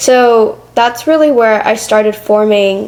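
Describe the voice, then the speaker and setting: Against noticeable background noise, a woman speaks at a fairly high pitch with ordinary pitch variation. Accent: American. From Michigan, Metro Detroit. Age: 20s. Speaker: podcast host and public speaker. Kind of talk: interview conversation. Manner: loud.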